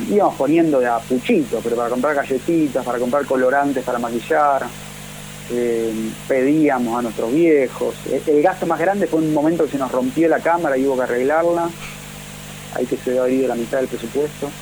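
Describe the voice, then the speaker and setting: Someone speaks at a fairly quick pace in an Argentine accent. Background noise is noticeable. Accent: Rioplatense Argentine Spanish. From Argentina. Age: 40s. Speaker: film director. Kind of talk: interview.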